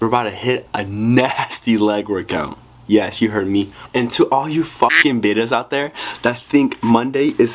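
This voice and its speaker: A man talks fairly slowly, his pitch moving in an ordinary way. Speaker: fitness vlogger. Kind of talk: casual vlog chat. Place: home room. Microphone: camera far.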